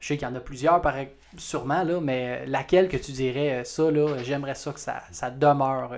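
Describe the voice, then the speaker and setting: With a Quebec accent, a man talks in a fairly high pitch and fairly even intonation. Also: moderate pace. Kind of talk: interview.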